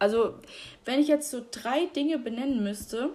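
A woman speaks at a high pitch with an animated tone. Her pitch variation is ordinary. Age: 20s. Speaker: podcaster. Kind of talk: casual monologue.

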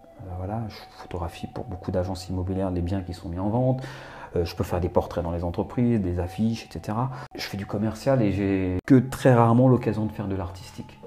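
A man talks at a fairly quick pace in a fairly low pitch with ordinary pitch variation. Noticeable background noise is present. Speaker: photographer and actor. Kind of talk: casual chat.

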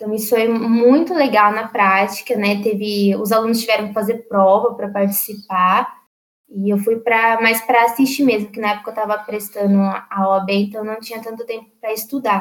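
A woman with an ordinary speaking voice talks at a moderate pace and a fairly high pitch, her intonation fairly even. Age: 20s. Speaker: law graduate. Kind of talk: interview. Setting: online voice call.

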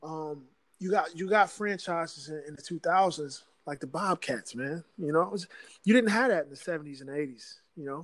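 In an American accent, a man with a plain, everyday voice speaks at a fairly high pitch and moderate pace, with ordinary pitch variation and big swings in loudness against a quiet background. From Virginia. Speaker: basketball fan. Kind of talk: casual chat.

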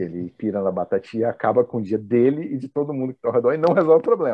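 A medium-pitched man at a very fast pace. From Brasília, Brazil. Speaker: professor and entrepreneur. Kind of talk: casual interview chat.

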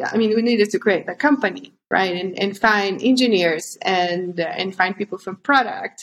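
A woman's medium-pitched voice with a Spanish accent, fairly slow pace and ordinary pitch variation. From Honduras. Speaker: startup co-founder. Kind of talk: interview. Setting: video call.

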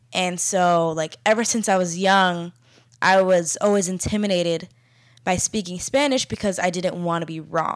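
A woman with an American accent talks at a moderate pace in an unremarkable speaking voice, at a medium pitch with ordinary pitch variation. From Florida, US. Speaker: podcast co-host. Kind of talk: casual conversational podcast discussion. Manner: casual, filler-heavy.

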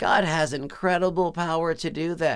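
A very clean recording with a silent background carries a man's fairly high voice with an American accent. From Texas. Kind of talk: sermon-style teaching monologue.

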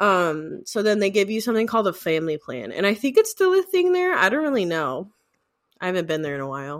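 On a very clean recording with a silent background, a woman talks very fast at a medium pitch with very wide pitch swings. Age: 20s. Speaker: podcast co-host. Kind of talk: casual chat.

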